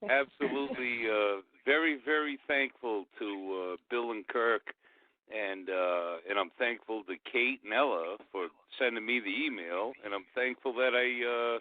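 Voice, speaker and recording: A man with a New England accent, medium pitch, ordinary pitch variation and a fairly slow pace. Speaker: caller. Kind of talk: call-in radio talk. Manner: halting, many fillers.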